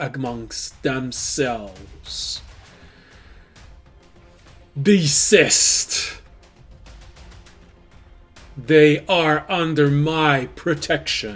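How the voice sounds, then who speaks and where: Over faint music in the background, a man uses a put-on character voice, resonant and booming at a fairly high pitch, speaking at a very slow pace with long, frequent pauses. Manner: commanding, yelling.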